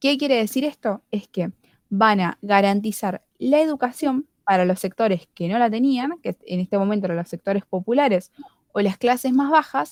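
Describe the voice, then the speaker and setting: In a dry, close sound with no echo, a woman with an ordinary speaking voice talks at a moderate pace, fairly high in pitch, with lively intonation. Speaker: student study group leader. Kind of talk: tutorial.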